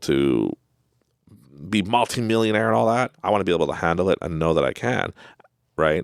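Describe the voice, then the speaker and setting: This man talks at a fairly quick pace with lively intonation, vocal fry, and a Canadian accent. The sound is dry and close with no echo, and the recording is very clean over a silent background. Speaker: self-help podcast host. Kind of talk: motivational monologue. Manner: casual, conversational.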